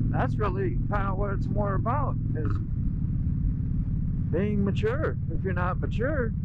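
A man is speaking amid loud background noise. The sound is dry, with no echo. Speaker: motorcycle rider vlogger. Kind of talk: casual vlog chat. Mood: calm, thoughtful. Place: motorbike.

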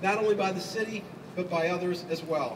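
Fairly even intonation runs through fairly quick speech, with noticeable noise in the background. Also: man. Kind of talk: prepared public speech. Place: street. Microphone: camera far.

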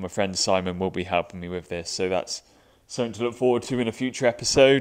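It's an ordinary speaking voice, a man's, with a fairly low pitch. His intonation stays fairly even against a quiet background. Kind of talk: casual vlog chat. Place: workshop.

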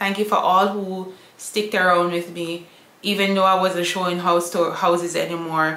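A woman's bright, sharp tone at fairly low pitch, moderate pace and little pitch movement, under strong room echo

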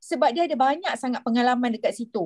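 Against a quiet background, a woman with a Malaysian accent lets her pitch swing very widely. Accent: Malaysian Malay. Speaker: event moderator. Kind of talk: moderated online session. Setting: video call. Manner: hesitant. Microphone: video call.

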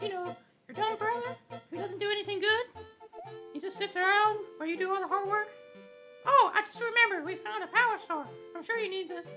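An extremely high-pitched put-on character voice is heard over faint music in the background. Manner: babbling, excited.

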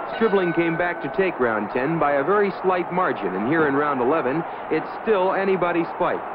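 At a moderate pace, a man speaks with a high pitch and ordinary pitch variation. His loudness stays very even, with noticeable background noise behind him. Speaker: newsreel narrator. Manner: brisk, authoritative, declamatory newsreel announcer delivery.

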